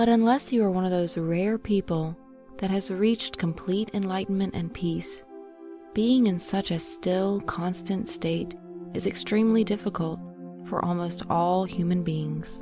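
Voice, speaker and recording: The speech moves at a fairly slow pace with ordinary pitch variation and a calm, soothing tone. Music plays in the background. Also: woman, medium pitch for a woman. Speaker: meditation guide. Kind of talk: guided meditation. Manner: soothing, relaxing; slow, calm.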